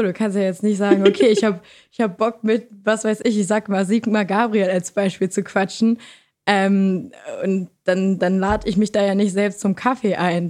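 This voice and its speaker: A woman speaks at a medium pitch and a moderate pace, with fairly even intonation, in a normal speaking voice. The recording is very clean, with a silent background. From Lower Saxony, Germany. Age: 20s. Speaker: student and podcaster. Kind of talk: casual chat.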